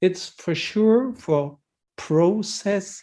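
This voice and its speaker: A dark, mellow tone in a German accent. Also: man. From Germany. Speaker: healthcare technology expert speaker. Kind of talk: webinar Q&A answer. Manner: halting.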